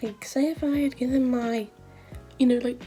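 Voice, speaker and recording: Over music in the background, a woman with a British accent speaks at a high pitch in a monotone, flat way. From UK. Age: young. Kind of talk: casual talk to camera.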